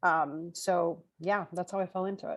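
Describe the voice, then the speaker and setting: Over a quiet background, a speaker with a Spanish accent talks in a monotone, flat intonation. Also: woman. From Chile. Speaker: language school owner. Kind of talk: interview. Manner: casual, with fillers.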